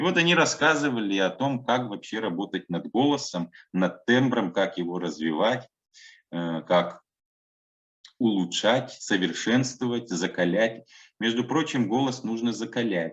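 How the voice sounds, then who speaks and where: A man's fairly slow speech with lively intonation and long, frequent pauses against a quiet background. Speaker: museum worker and trained announcer giving a workshop. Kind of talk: online workshop lecture. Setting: online workshop.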